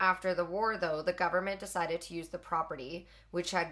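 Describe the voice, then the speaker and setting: At a fairly quick pace, a woman with a Canadian accent speaks in a fairly low pitch and a normal speaking voice. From Alberta, Canada. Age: 20s. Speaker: podcast co-host. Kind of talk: reading aloud. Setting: hot room.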